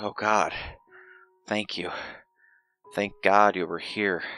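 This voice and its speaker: A man's put-on character voice, quiet and raspy, with a fairly low pitch, monotone, flat intonation and a fairly slow pace. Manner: grateful, relieved.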